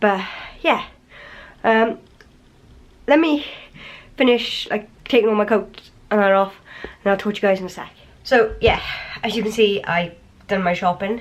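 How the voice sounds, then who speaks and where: In an English accent, a woman speaks at a fairly high pitch and a moderate pace. Her pitch variation is ordinary, with long, frequent pauses. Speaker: vlogger. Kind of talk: casual vlog talk to camera. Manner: rambling, filler-heavy.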